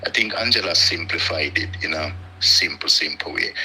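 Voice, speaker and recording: A man's voice amid noticeable background noise. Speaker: live stream guest. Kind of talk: casual chat.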